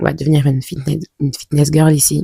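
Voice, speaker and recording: A woman's very deep, low voice with a dark, mellow tone and monotone, flat intonation at a moderate pace, dry and close with no echo. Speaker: vlogger. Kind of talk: casual vlog talk to camera. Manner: hesitant, many fillers.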